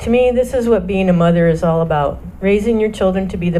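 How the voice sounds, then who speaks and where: The speaker talks at a fairly quick pace with an American accent. Audible room echo and noticeable background noise are present. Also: woman. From US Midwest, Michigan. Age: 60s. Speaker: church member, singer, mother. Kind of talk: reading aloud a personal testimony. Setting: church service with microphone.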